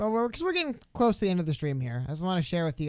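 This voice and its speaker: A man's voice with lively intonation. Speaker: political podcast co-host. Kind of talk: live stream casual chat. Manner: fast.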